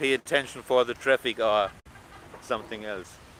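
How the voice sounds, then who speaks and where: A man in a German accent at a moderate pace, the sound dry and close with no echo. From Germany. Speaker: travel vlogger. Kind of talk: live stream vlog. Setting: outdoors, walking on beach. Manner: halting, many fillers.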